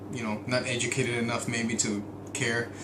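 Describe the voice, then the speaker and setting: A man speaks at medium pitch with monotone, flat intonation. The recording has noticeable background noise and audible room echo. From Mexico. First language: Spanish. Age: 30s. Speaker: vlogger, oil and gas contractor. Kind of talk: video diary monologue. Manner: hesitant, many fillers.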